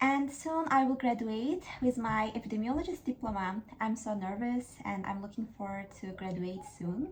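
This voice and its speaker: At a moderate pace, a woman speaks in a fairly high voice with lively intonation. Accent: Azerbaijani. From Azerbaijan. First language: Azerbaijani. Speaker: YouTuber. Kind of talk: casual talk to camera, book discussion. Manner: hesitant, with fillers.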